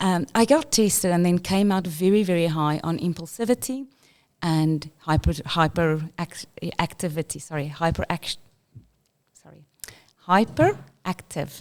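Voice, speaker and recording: A woman with a South African accent speaks at a fairly slow pace, her pitch fairly low. Her loudness swings widely, and she leaves long, frequent pauses. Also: ordinary pitch variation. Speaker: school inclusion leader. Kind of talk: interview.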